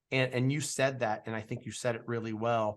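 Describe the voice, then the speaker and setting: A man's ordinary speaking voice, medium in pitch, with fairly even intonation and a moderate pace. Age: 40s. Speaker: podcast host. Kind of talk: interview.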